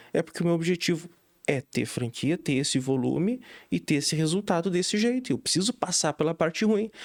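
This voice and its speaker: A man's high-pitched voice with lively intonation and very even loudness, in a dry, close sound with no echo. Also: fairly quick pace. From southern Brazil, Rio Grande do Sul (São Gabriel, border region). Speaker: real estate inspection franchise owner. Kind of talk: podcast interview.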